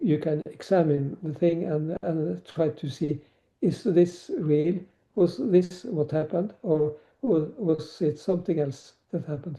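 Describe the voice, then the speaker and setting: A man's dark, mellow tone, fairly high in pitch, with ordinary pitch variation and a fairly slow pace. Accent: Norwegian. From Norway. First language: Norwegian. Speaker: novelist and former teacher. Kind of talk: podcast interview. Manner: halting, many fillers.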